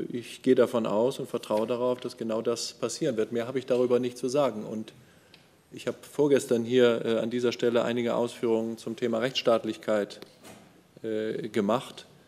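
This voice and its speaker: In a dark, mellow tone, a man speaks at a medium pitch with monotone, flat intonation. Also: moderate pace. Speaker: government spokesperson. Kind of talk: press conference answer. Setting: press conference room. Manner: halting. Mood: guarded, formal, measured. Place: hall.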